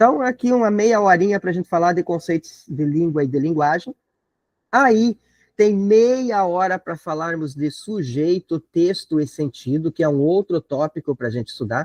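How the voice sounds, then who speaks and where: The recording has a dry, close sound with no echo and a quiet background. A man with a high pitch speaks at a moderate pace with lively intonation. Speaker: teacher preparing students for an exam. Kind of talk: online lecture. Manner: casual, conversational.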